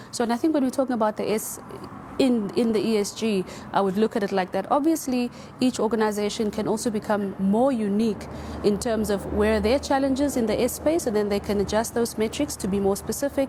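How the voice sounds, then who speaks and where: A woman's fairly high voice at a fairly quick pace, very even in loudness, with noticeable background noise. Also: ordinary pitch variation. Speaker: panelist. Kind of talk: panel discussion. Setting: studio with audience. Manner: soft-spoken.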